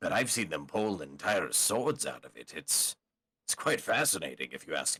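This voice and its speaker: Using a put-on character voice, a man speaks at a moderate pace with fairly low pitch. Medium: actual play. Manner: halting, earnest.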